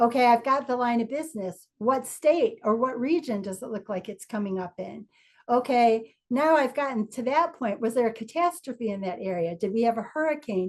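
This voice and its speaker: A woman's fairly high voice, hardly any pauses, quiet background. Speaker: insurance industry veteran. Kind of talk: informal talk. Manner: fast.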